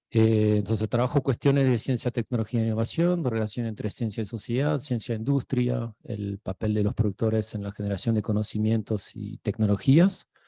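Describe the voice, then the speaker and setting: Speaking with an Argentine accent, a man moves at a fairly quick pace with hardly any pauses, his medium-pitched, dark, mellow voice varying in pitch in an ordinary way in a dry, close sound with no echo. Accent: Argentine-tinged Spanish. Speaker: sociologist, researcher. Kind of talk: lecture. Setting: university lecture hall, also streamed online.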